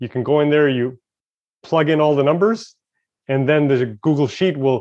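A man with a normal speaking voice moves at a fairly quick pace with ordinary pitch variation. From Canada, Montreal. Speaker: investing educator and software founder. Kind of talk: interview.

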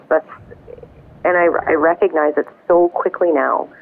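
A woman talks in a monotone, flat intonation against noticeable background noise. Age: 40s. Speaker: anxiety support group volunteer. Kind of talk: interview testimony.

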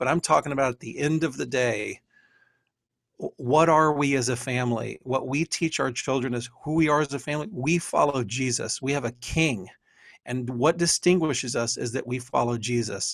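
Speaking at a moderate pace, a man with an American accent uses ordinary pitch variation. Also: medium pitch for a man. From Texas. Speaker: men's group leader. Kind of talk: casual chat. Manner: animated.

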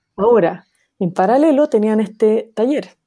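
Her voice sits fairly high for a woman, with a dark, mellow tone and ordinary pitch variation against a quiet background. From Chile. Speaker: sociologist. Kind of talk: interview.

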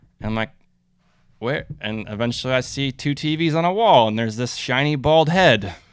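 Lively intonation runs through a plain, everyday voice with an American accent at a moderate pace. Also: man, medium pitch for a man, very clean recording, silent background. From Minnesota, US. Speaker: campus sports ministry worker, former soccer coach. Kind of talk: casual interview.

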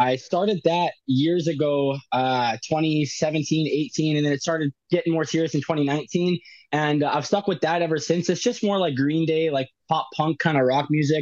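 The speaker uses a normal speaking voice at a moderate pace, with a Canadian accent. The background is quiet. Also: man, fairly high pitch for a man, ordinary pitch variation, very even loudness. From Winnipeg, Canada. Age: 20s. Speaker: rapper. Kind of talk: interview.

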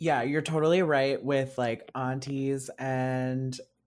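Spoken at a very slow pace with a Canadian accent. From North Bay, Ontario, Canada. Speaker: guest producer and interviewer, artist. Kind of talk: interview conversation. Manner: casual, hesitant with fillers.

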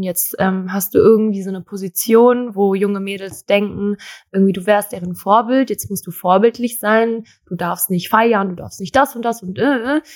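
A woman's plain, everyday voice, medium in pitch, at a moderate pace with fairly even intonation. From Germany, Thai-born. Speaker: model. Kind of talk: interview.

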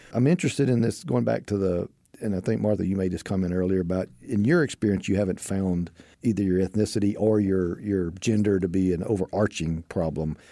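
A man with a Texan accent speaks at a fairly quick pace in a very deep, low voice, his tone dark and mellow and his pitch varying in an ordinary way. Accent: Southern US, Texan. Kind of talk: casual panel interview.

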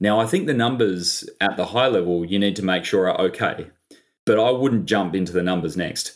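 With an Australian accent, a man talks at a fairly quick pace. His pitch is fairly low, with ordinary pitch variation. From Australia, Sydney. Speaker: business investor and advisor. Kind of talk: interview.

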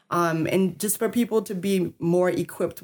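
At a moderate pace, a woman with an American accent speaks with fairly even intonation on a very clean recording with a silent background. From US South, New Orleans, Louisiana. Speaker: mental health nonprofit director. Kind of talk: interview.

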